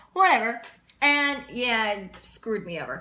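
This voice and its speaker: Over noticeable background noise and audible room echo, a woman with a high voice speaks in an animated tone at a moderate pace. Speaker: vlogger and cruise ship singer. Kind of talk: casual vlog. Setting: indoors, in her room.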